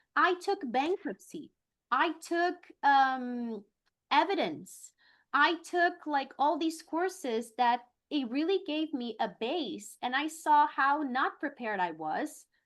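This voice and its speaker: A woman with a high pitch and lively intonation at a fairly slow pace, over a quiet background. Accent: Brazilian. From Brazil. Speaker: attorney. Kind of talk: interview.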